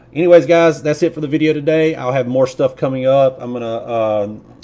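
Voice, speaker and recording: Speaking fairly quickly, a man talks in a Southern US accent. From US South. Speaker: YouTuber, nurse. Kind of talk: casual video commentary. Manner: hesitant, many fillers.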